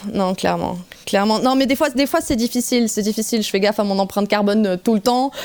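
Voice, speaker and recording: A woman speaks very fast at a fairly high pitch, her loudness very even. Noticeable background noise runs underneath. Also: ordinary pitch variation. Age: 30s. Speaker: metal singer. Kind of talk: radio interview.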